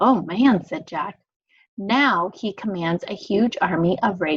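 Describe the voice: A quiet background behind plain reading aloud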